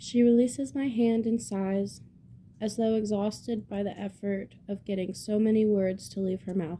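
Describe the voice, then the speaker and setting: Somewhat breathy, a woman speaks at medium pitch in a dark, mellow tone with ordinary pitch variation. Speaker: amateur book reader. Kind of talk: reading aloud. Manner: slow; halting.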